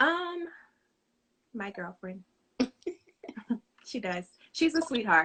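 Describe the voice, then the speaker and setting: A woman's high, bright, sharp voice with very wide pitch swings and long, frequent pauses. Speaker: home cook and small business owner. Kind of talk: casual interview. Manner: fast.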